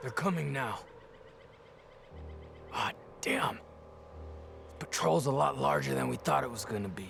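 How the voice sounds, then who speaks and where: Putting on a raspy character voice at a very deep, low pitch, a man swings his pitch very widely at a moderate pace, with long, frequent pauses over clear background noise. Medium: video game.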